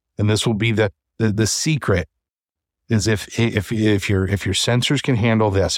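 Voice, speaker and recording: The recording is very clean with a silent background and a dry, close sound with no echo, as a man with a fairly low pitch speaks at a moderate pace. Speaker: VR podcast host. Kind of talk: casual chat. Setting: virtual reality studio livestream. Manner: loud.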